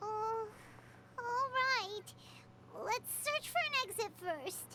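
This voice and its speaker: Someone uses a put-on character voice at an extremely high pitch, talking at a very slow pace over light background noise. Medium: video game. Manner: warm, reassuring.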